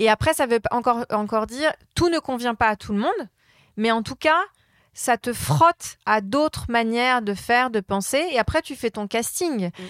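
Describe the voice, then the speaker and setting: A woman with an unremarkable speaking voice talks at a moderate pace and a fairly high pitch with lively intonation, in a very clean recording with a silent background and a dry, close sound with no echo. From France, Polish family. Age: 30s. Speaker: brand strategist. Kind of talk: interview. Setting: hotel room.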